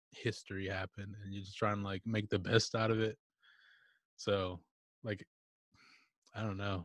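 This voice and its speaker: In a very clean recording with a silent background, the speaker keeps a moderate pace and fairly even intonation. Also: man. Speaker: music artist. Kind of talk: casual interview.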